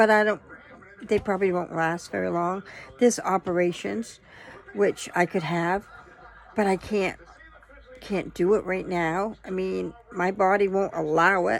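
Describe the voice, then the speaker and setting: At a fairly slow pace, a woman with a medium pitch speaks with fairly even intonation. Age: 60s. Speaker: vlogger sharing personal health struggles. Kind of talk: personal testimony monologue. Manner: halting, with many fillers.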